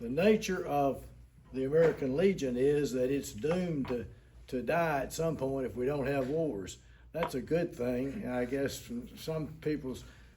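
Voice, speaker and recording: Somewhat breathy and dark, mellow in tone, the voice moves at a fairly slow pace with ordinary pitch variation amid audible room echo. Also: man. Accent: Tennessee. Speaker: war veteran. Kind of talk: public meeting address. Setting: city council meeting. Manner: halting.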